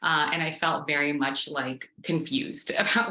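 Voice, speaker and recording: Over noticeable background noise, a woman with a Canadian accent speaks with a very deep, low pitch and monotone, flat intonation. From Toronto area, Canada. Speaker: immigrant interviewee. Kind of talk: interview testimony.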